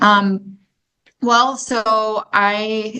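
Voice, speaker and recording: A woman's fairly high voice in a South Dakota accent, with ordinary pitch variation. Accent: South Dakota accent, mistaken for Canadian. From South Dakota, Sioux Falls. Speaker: senior home care director. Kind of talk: podcast interview.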